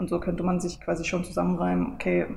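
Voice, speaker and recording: Audible room echo surrounds a woman talking at a very fast pace. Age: 20s. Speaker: online marketing lecturer. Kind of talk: casual interview, book presentation. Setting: coworking space in front of a camera.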